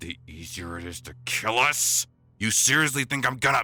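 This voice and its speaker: A man's raspy, put-on character voice at medium pitch, delivered at a moderate pace. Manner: rough, defiant.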